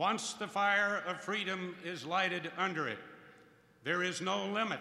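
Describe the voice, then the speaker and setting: With audible room echo, a man speaks at a high pitch and a fairly slow pace. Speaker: host introducing a speaker. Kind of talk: formal introduction speech. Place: hall. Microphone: podium.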